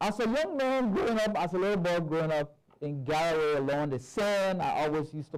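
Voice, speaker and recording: A man with a high pitch talks at a fairly quick pace with lively intonation. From southeastern Liberia. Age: 60s. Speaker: bishop. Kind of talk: conference talk.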